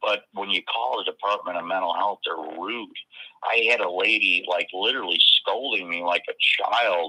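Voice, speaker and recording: A man talks at a moderate pace. He has a northern US accent. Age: 50s. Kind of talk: casual chat.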